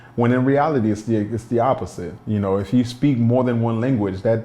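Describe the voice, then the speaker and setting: At a fairly quick pace, a man of medium pitch with a Haitian accent speaks in a dark, mellow tone with ordinary pitch variation. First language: Haitian Creole. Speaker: documentary subject, immigrant. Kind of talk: documentary interview.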